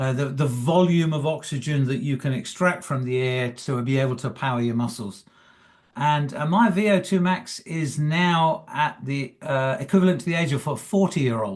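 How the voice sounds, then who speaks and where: This man's voice is somewhat breathy and fairly high in pitch, with lively intonation. He speaks at a moderate pace against a quiet background. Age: 70s. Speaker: retired coach and motivational speaker. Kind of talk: interview. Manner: halting.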